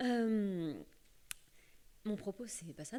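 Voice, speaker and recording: This woman's voice carries a dark, mellow tone with ordinary pitch variation. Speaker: magistrate, panelist. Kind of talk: round table talk.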